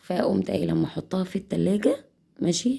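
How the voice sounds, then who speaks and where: Moderately paced speech in an Egyptian accent. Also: woman. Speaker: cooking channel host. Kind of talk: cooking tutorial. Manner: casual, chatty.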